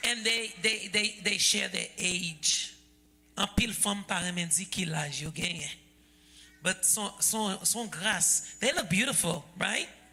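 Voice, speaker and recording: Medium pitch from a woman at a fairly slow pace, with ordinary pitch variation over noticeable background noise. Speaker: event host. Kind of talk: panel moderation.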